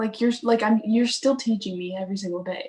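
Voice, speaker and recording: This woman's voice is somewhat breathy and fairly high in pitch, with ordinary pitch variation. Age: young. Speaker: musician, host's daughter. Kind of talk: casual chat. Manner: quiet. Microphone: no microphone.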